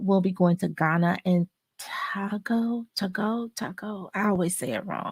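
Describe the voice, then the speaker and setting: The delivery comes at a moderate pace with fairly even intonation in a normal speaking voice. The sound is dry and close, without echo. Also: woman. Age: 50s. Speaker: pilates instructor and wellness host. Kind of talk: live stream talk.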